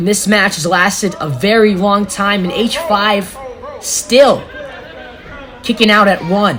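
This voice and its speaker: Lively intonation runs through fairly slow speech with long, frequent pauses and noticeable background noise. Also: woman, medium pitch for a woman. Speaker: wrestling commentator. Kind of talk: live wrestling play-by-play commentary.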